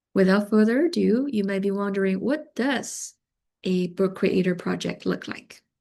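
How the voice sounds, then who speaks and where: Over a quiet background, a woman with a Chinese accent speaks at a moderate pace with a medium pitch, a dark, mellow tone and ordinary pitch variation. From China. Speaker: teacher of multilingual learners. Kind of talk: conference presentation.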